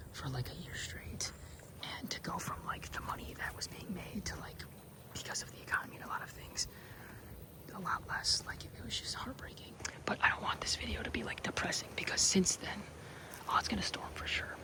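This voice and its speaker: Whispering in a relaxed tone at a fairly quick pace, a man takes long, frequent pauses over noticeable background noise. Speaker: ASMR creator. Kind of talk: casual talk to camera, outdoor hike conversation. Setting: outdoors in nature, rain starting. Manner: soft-spoken, whispered, relaxed.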